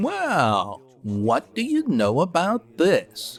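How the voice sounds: Speaking at a very slow pace, a man uses a put-on character voice with very wide pitch swings. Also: fairly high pitch for a man.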